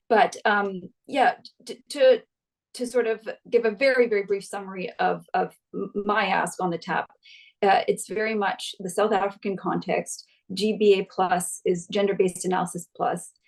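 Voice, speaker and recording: Fairly even intonation in a woman's medium-pitched speech. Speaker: gender equality consultant. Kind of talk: webinar presentation. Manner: fast.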